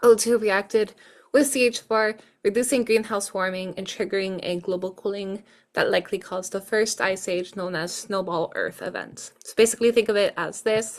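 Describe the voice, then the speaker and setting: A woman with a non-native accent and big swings in loudness, in a very clean recording with a silent background. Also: medium pitch for a woman, fairly even intonation, moderate pace. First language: not English. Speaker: student tutor. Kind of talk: exam review tutorial. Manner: casual, hesitant with fillers.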